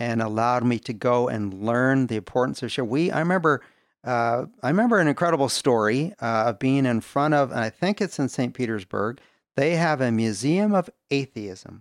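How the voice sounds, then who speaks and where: On a very clean recording with a silent background and a dry, close sound with no echo, a man talks at a moderate pace in a normal speaking voice of medium pitch. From Canada. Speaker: business leader. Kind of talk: testimony.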